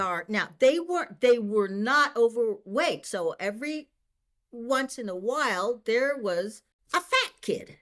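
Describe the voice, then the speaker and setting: A woman's ordinary speaking voice, fairly high in pitch, with an American accent, lively intonation and a fairly slow pace. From Boston. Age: 60s. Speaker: senior track and field athlete. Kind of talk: interview answer.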